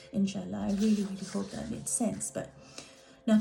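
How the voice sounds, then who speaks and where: A woman with a non-native accent, with audible room echo and noticeable background noise. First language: not English. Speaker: art healer. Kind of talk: workshop talk.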